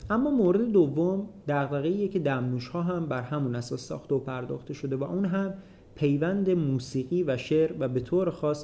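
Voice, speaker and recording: This man has a fairly high pitch and a dark, mellow tone. He moves at a fairly quick pace with lively intonation. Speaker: podcast host. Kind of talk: scripted narration.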